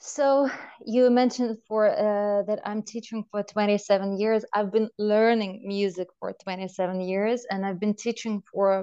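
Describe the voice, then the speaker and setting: Dry and close with no echo, a woman speaks at a fairly slow pace with hardly any pauses, her dark, mellow tone held at a medium pitch and monotone, flat intonation. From Belarus. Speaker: choir conductor and aromatherapist. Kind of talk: interview.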